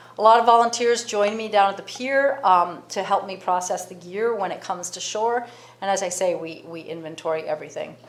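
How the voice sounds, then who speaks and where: The speech moves at a fairly quick pace, with ordinary pitch variation and big swings in loudness. Audible room echo and noticeable background noise are present. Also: woman, medium pitch for a woman. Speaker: marine debris program director. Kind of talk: presentation. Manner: fast.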